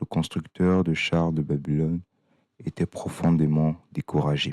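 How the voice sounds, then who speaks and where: A man speaks with a very deep, low pitch and a dark, mellow, calm tone. His intonation is monotone and flat, his loudness very even, and the sound dry and close with no echo. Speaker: audiobook reader. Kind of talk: reading aloud. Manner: calm, measured.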